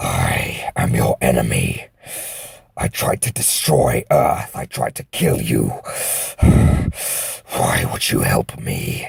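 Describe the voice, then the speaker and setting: A man growls through a put-on character voice at a very slow pace. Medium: audio drama. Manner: growling, hissing, proud.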